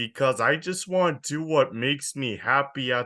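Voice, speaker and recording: Against a quiet background, a man with a bright, sharp tone and medium pitch speaks with lively intonation. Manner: speaks very slowly and intentionally; says this pace is their normal voice.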